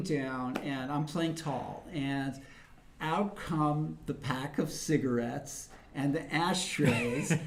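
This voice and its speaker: There is audible room echo. Background noise is also noticeable. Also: man. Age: 50s. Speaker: chess commentator. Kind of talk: live commentary; casual chat. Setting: chess club.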